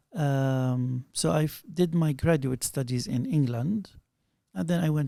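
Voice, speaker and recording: A man with a dark, mellow, somewhat breathy voice speaks at a medium pitch and fairly slow pace, with ordinary pitch variation. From Palestine (Bethlehem). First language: Arabic. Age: 50s. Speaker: scholar of Syriac studies. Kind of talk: interview, life story.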